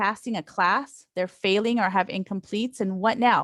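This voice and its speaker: With a Spanish accent, a woman speaks at a moderate pace in a fairly high pitch with ordinary pitch variation. The recording is dry and close, with no echo. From Oregon, immigrated as a child from Latin America. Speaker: school board candidate, educator. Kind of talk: campaign speech on video call. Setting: video call.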